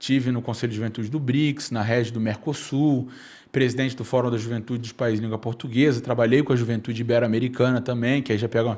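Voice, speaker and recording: Speaking very fast in a Rio de Janeiro accent, a man with a medium pitch keeps a monotone, flat intonation on a very clean recording with a silent background. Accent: carioca (Rio de Janeiro). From Brazil, Rio de Janeiro (Nova Iguaçu, Baixada Fluminense). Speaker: youth policy leader. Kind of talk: podcast interview. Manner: hesitant fillers.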